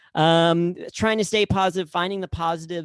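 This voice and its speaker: A man speaks at a moderate pace, his pitch high for a man. The recording is very clean, with a silent background. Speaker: comedian. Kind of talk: stand-up.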